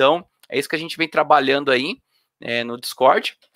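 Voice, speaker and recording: Against a quiet background, a man's bright, sharp tone comes through dry, with no echo. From Brazil, Sorocaba, São Paulo state; São Paulo state, Brazil. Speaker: electrical engineer and open hardware project lead; speaker. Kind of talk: conference talk. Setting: online event. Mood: friendly, relaxed. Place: home room. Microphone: webcam.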